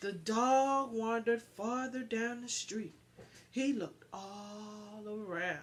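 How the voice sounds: A woman speaks at a slow pace. Her pitch is fairly high. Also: ordinary pitch variation.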